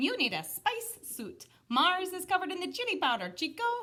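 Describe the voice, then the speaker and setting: An extremely high-pitched put-on character voice speaks. The pace is moderate. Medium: read story. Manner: casual, jokey.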